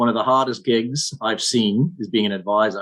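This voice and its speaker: The speaker talks with a Scottish accent and ordinary pitch variation. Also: man. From Scotland. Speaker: financial services general manager. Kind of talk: podcast interview.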